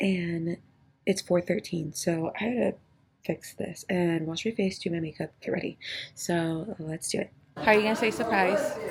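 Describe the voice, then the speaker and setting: A woman with a fairly low pitch talks at a moderate pace, her pitch varying in an ordinary way. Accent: American. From Texas, Beeville. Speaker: vlogger. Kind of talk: casual vlog talk. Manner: whispering.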